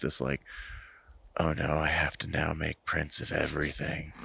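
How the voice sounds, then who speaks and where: A man with an American accent speaks at a moderate pace in a very deep, low pitch. His tone is bright and sharp, with vocal fry. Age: 40s. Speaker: amateur film photographer. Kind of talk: casual chat. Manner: halting.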